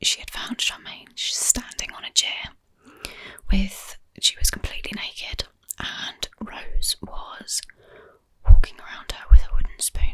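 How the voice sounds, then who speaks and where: Whispering, a woman speaks at a fairly slow pace. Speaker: ASMR true crime YouTuber. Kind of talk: true crime ASMR narration. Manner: whispered, soft-spoken.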